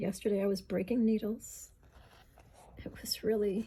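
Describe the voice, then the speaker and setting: Somewhat breathy, a woman's voice sits at a fairly high pitch with a dark, mellow tone. Her pitch varies in an ordinary way. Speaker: beading teacher. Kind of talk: tutorial. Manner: slow; conversational.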